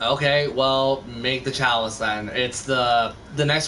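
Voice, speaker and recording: Noticeable background noise and audible room echo are present. A man speaks at a medium pitch with fairly even intonation. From Canada. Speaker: gaming streamer. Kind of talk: casual chat.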